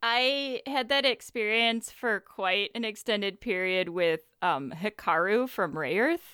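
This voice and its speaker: A woman's fairly high, lively voice, an unremarkable speaking voice, at a fairly slow pace with hardly any pauses. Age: 30s. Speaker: podcast host. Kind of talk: casual chat.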